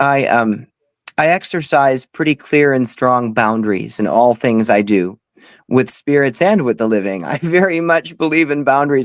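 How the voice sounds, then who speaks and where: A man's normal speaking voice at medium pitch, lively intonation and a moderate pace, on a very clean recording with a silent background and a dry, close sound with no echo. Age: 40s. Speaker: paranormal medium. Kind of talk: casual interview chat.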